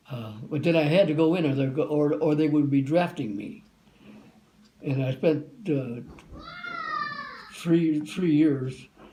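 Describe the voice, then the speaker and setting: A man with a fairly high pitch and ordinary pitch variation talks at a fairly slow pace with long, frequent pauses, amid audible room echo and noticeable background noise. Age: 90s. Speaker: war veteran. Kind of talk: interview. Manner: halting.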